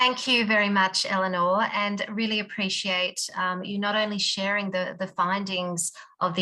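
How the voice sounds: A bright, sharp tone marks this woman's speech.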